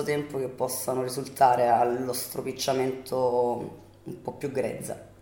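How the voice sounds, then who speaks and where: A woman speaks in a room with audible echo. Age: 30s. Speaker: bartender and fashion student. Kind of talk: interview answers.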